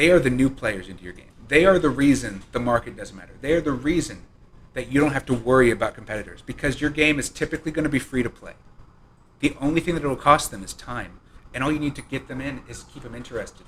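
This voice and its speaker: A man's fairly high voice at a very fast pace, with ordinary pitch variation and big swings in loudness. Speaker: game developer. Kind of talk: live-streamed presentation. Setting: live stream from his apartment.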